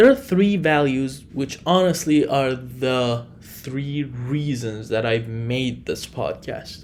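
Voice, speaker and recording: Speaking at a very slow pace with hardly any pauses, a man with a non-native accent uses a medium pitch and ordinary pitch variation. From Iran. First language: Farsi. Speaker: podcast host. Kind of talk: solo podcast monologue.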